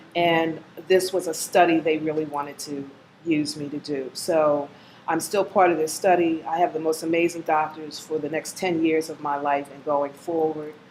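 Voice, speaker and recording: A woman with a very deep, low pitch speaks in a monotone at a moderate pace, her loudness swinging sharply against noticeable background noise. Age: 60s. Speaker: cancer survivor. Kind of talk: testimony.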